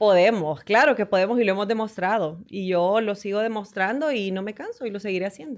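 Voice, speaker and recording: A woman with a Honduran accent talks at a fairly quick pace with hardly any pauses. Her pitch variation is ordinary, and the background is quiet. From Honduras, Danlí; Honduras. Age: 40s. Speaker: sports broadcaster; podcast guest. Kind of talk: interview. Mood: warm, earnest, encouraging. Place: studio. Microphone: studio mic.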